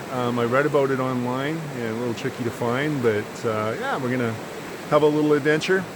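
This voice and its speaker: A man at a medium pitch, speaking at a fairly quick pace with fairly even intonation, amid audible room echo and noticeable background noise. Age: 50s. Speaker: vanlife vlogger and trader. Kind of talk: casual vlog talk. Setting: outdoors. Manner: relaxed, many fillers.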